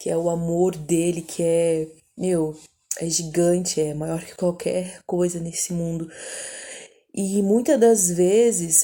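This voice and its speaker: Medium-pitched female voice, its pitch varying in an ordinary way. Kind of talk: personal testimony. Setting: at home at night. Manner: soft-spoken; casual, hesitant.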